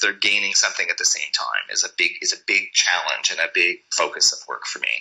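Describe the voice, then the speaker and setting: Noticeable background noise runs behind the speech. A man talks at a very fast pace. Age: 50s. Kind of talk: podcast interview.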